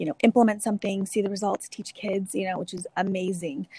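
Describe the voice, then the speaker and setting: A woman's voice with an American accent in a dry, close sound with no echo. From California Central Valley (Dinuba). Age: 30s. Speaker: school district equity coordinator. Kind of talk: interview. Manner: frequent fillers and hesitations.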